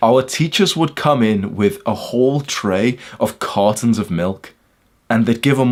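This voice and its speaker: Lively intonation marks this man's speech, delivered in a British accent. He talks at a fairly slow pace with a medium pitch. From UK. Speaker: self-improvement influencer. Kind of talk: monologue talk video. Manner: animated; casual.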